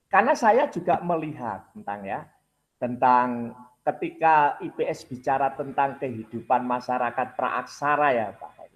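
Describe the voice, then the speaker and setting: In a plain, everyday voice, a man speaks fairly slowly at a fairly high pitch, with ordinary pitch variation and big swings in loudness. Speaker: university program coordinator; university lecturer presenting to teachers. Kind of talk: lecture. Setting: video call. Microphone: video call.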